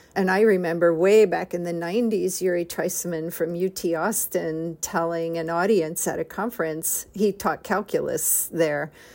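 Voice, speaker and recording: In a very clean recording with a silent background, a woman with a plain, everyday voice speaks at a moderate pace and a fairly low pitch, with fairly even intonation. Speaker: podcast host and academic center director. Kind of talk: interview, podcast conversation.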